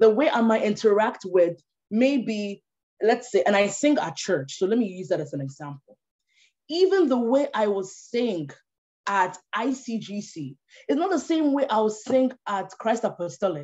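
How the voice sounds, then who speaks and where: A woman with a Ghanaian accent, fairly high in pitch, dark and mellow in tone, with very wide pitch swings. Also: moderate pace. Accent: Ghanaian, kept after moving to Canada. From Ghana (Tema). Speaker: policy analyst and speaker. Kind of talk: online talk or webinar presentation.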